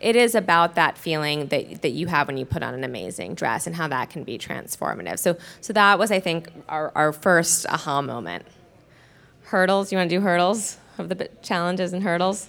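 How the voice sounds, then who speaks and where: A woman with an American accent talks at a fairly quick pace, her fairly low pitch marked by vocal fry. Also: ordinary pitch variation. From New York. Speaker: startup co-founder. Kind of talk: panel talk.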